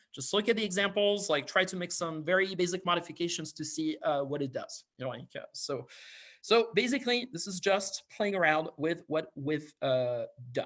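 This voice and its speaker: A high-pitched man with a French accent and lively intonation at a moderate pace, on a very clean recording with a silent background. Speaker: university lecturer. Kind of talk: lecture. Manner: hesitant, many fillers.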